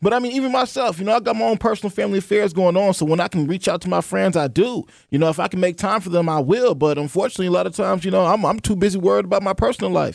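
Backed by music, a man talks at a very fast pace and high pitch, his intonation lively and with hardly any pauses. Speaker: marketing professional. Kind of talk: casual chat. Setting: studio.

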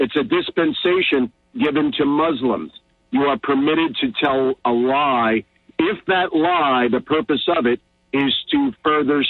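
This man has a plain, everyday voice, fairly high in pitch, moving at a fairly slow pace with lively intonation and very even loudness. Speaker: caller. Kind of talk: call-in opinion. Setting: phone call.

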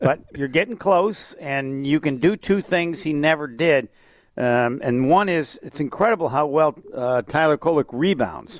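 A plain, everyday voice from a man, fairly high in pitch, at a fairly slow pace with ordinary pitch variation and a dry, close sound with no echo. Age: 60s. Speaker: sports broadcaster. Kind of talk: casual chat. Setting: phone call.

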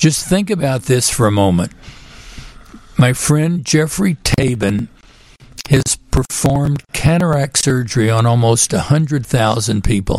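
A man speaks at a fairly slow pace with lively intonation and very even loudness. His voice is somewhat breathy. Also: medium pitch for a man. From Texas, Houston. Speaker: physician and author. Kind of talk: radio interview. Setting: studio.

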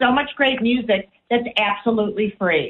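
With an American accent, a woman speaks in an enthusiastic tone. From US Midwest, Chicago. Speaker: radio co-host. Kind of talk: casual radio talk show chat.

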